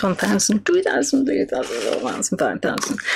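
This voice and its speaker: A woman speaks over noticeable background noise. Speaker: craft demonstrator on live stream. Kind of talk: tutorial. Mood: cheerful, relaxed. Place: studio.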